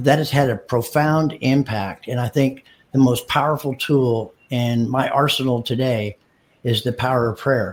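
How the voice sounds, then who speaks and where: Captured in a very clean recording with a silent background, the voice is somewhat breathy, with fairly even intonation. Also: man, medium pitch for a man, moderate pace. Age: 60s. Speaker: dealership marketing business co-founder. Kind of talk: casual interview. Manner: halting, repeats words.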